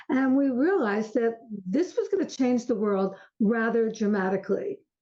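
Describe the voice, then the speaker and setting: A woman speaks at a moderate pace in a fairly high voice with a dark, mellow tone. Her intonation is lively and her loudness stays very even. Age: 70s. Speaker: author and aging expert. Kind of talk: interview conversation.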